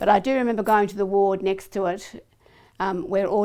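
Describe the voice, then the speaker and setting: In a very clean recording with a silent background, a woman with an Australian accent speaks at a moderate pace in a dark, mellow tone with fairly even intonation. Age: 70s. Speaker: polio survivor. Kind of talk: testimony. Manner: halting.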